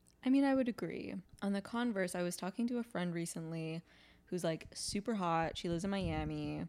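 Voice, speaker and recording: A woman speaks in an unremarkable speaking voice, fairly low in pitch, with ordinary pitch variation at a fairly quick pace. The recording is very clean, with a silent background. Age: 20s. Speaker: podcast host. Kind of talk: casual chat.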